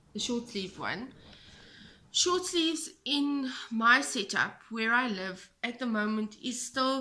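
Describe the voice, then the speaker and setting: With a South African accent, a woman speaks in a high pitch with a bright, sharp tone and lively intonation. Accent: Afrikaans South African English. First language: Afrikaans. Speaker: knitting podcaster and yarn dyer. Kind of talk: casual chat. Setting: home, kitchen table.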